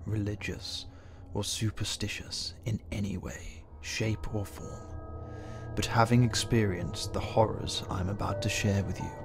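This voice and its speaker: A man's fairly low voice at a fairly slow pace, with music in the background. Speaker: narrator. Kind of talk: comedic first-person horror story narration.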